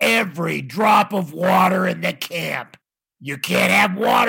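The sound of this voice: The background is kept quiet. Over it comes an unforced reading voice.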